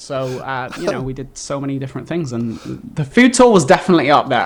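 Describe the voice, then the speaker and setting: A man with a Manchester accent, fairly high-pitched, at a fairly quick pace and with ordinary pitch variation. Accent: British, Manchester. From northern England, Manchester. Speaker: travel video creator and medical student. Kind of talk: live TV interview. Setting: TV studio. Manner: animated.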